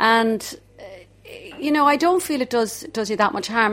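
With a Dublin accent, a woman talks at a fairly quick pace. Her pitch is fairly high. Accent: Dublin Irish. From Ireland, inner-city Dublin. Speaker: singer. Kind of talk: reminiscing interview.

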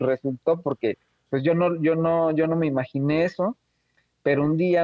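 In a dry, close recording with no echo, a man with a fairly high pitch and a dark, mellow tone talks at a fairly slow pace. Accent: Mexican. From Mexico, Oaxaca city. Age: young. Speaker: filmmaker. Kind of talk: interview. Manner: halting, many fillers and repetitions.

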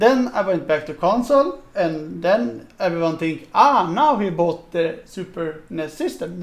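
Lively in intonation and high in pitch, a man with a Swedish accent speaks at a fairly slow pace. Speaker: podcast host. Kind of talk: casual chat.

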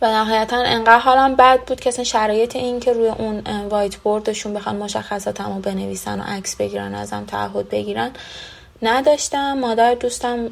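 A woman talks fairly quickly while noticeable noise sits in the background. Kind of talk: testimony.

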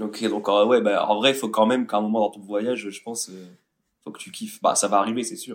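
A man speaks at a fairly quick pace in a fairly low pitch. His intonation is monotone and flat, while his loudness swings widely. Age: 20s. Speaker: podcast co-host friend. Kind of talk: casual chat.

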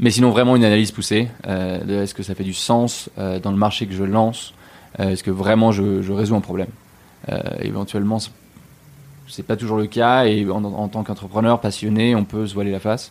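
With a fairly low voice, a man speaks fairly quickly in a flat monotone, leaving long, frequent pauses. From Switzerland (Geneva). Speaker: entrepreneur and investor. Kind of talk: interview. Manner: halting, many fillers.

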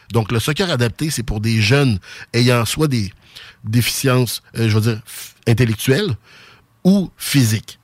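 A man in a Quebec City accent speaks at a medium pitch and moderate pace with ordinary pitch variation. The recording is very clean, with a silent background. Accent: Quebec City (Sainte-Foy). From Quebec (Sainte-Foy, Quebec City). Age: 40s. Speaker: youth soccer club director. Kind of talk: radio interview.

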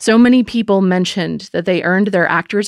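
A woman talks at a moderate pace in a normal speaking voice, with medium pitch and ordinary pitch variation. The sound is dry and close with no echo, in a very clean recording with a silent background. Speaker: podcast narrator and host. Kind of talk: scripted narration.

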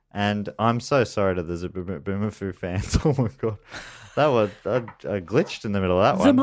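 A man talks at a moderate pace with ordinary pitch variation and a fairly low pitch. It is an ordinary speaking voice. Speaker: podcast co-host. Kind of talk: casual, comedic.

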